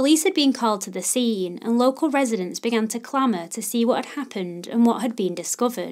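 A woman with a fairly high pitch speaks in a solemn tone at a very fast pace, with hardly any pauses. Her loudness swings widely, on a very clean recording with a silent background. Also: lively intonation. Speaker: podcast host. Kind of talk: true-crime narration, scripted and read aloud. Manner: solemn, measured, even-paced storytelling; formal, serious, respectful toward victims.

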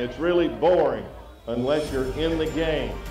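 Clear music plays in the background. Over it, a man speaks at a fairly high pitch. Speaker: professional auctioneer. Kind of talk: live charity auction. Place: tent. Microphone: handheld.

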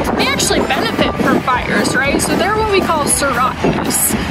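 Loud noise fills the background. A woman speaks at a fairly quick pace. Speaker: park ranger guide. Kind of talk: educational nature explainer. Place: waterside. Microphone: phone near.

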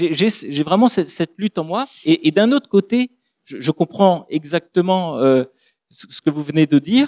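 Against a quiet background, a man with a high pitch and a dark, mellow tone speaks at a fairly slow pace. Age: 30s. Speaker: pastor. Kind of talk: public debate talk; public talk / panel discussion. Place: stage. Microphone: handheld.

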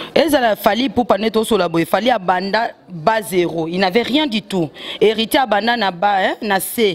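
Speaking very slowly, a woman with a medium-pitched voice uses lively intonation. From DR Congo. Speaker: celebrity journalist; interview guest, media commentator. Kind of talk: casual interview. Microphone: handheld.

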